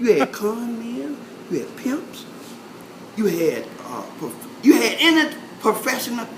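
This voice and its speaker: Long, frequent pauses, a fairly slow pace, and noticeable background noise. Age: 70s. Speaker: oral history interviewee. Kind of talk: casual oral history interview. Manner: halting, many fillers.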